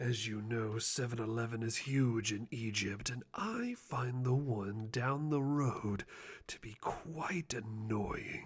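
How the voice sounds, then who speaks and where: Putting on a character voice, a man speaks in a medium pitch. He takes a fairly slow pace. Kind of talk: ASMR roleplay, personal attention. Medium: solo performance. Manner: theatrical, self-aggrandizing.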